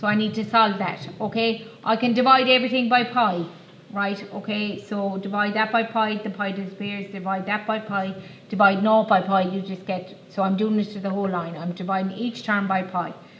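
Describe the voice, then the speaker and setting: Woman with an Irish accent at a moderate pace, monotone and flat, amid audible room echo and noticeable background noise. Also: medium pitch for a woman. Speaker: maths teacher. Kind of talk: classroom lesson.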